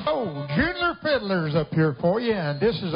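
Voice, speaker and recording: Over clear music in the background, a man with a high pitch speaks at a moderate pace. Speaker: contest announcer. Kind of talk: event emcee announcement. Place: stage.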